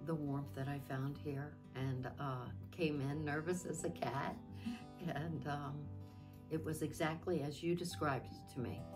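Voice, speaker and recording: Clear music plays in the background as a woman with a very deep, low pitch speaks with lively intonation. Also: fairly slow pace. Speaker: interviewee, photo shoot client. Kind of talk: interview answer. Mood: warm, grateful, smiling. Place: studio.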